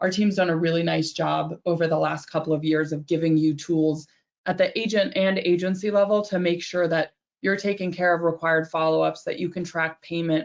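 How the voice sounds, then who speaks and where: A woman's fairly low voice, fairly quick in pace, with fairly even intonation. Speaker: software company representative presenting to insurance brokers. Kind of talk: product demo webinar. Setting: webinar. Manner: fast.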